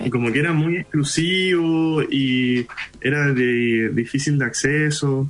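Very slow speech in a Chilean accent with very even loudness, ordinary pitch variation and noticeable background noise. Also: man, fairly high pitch for a man. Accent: Chilean Spanish, very local. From Chile (Iquique), Indian parents. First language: Hindi (speaking Spanish). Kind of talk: interview.

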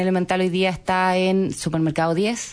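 Against a quiet background, a woman talks at a fairly slow pace in a plain, everyday voice. Her pitch is medium. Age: 30s. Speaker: entrepreneur. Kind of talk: interview.

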